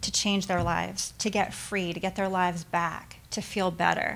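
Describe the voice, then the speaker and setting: A woman's medium-pitched voice with vocal fry at a fairly slow pace, on a very clean recording with a silent background. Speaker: charity leader. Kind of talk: fundraising speech. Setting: stage with audience.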